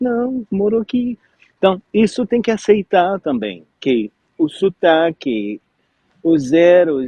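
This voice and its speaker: A man speaks at a very slow pace with a non-native accent. His high voice makes very wide pitch swings. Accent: foreign accent in Portuguese. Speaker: French teacher, interviewer. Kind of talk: interview. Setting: live stream.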